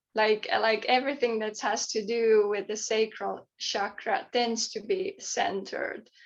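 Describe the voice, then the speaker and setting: A woman with a Finnish accent talks at a fairly slow pace in a fairly high pitch. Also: ordinary pitch variation. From Finland. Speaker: author and poet. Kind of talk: podcast interview. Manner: halting, many repeated words.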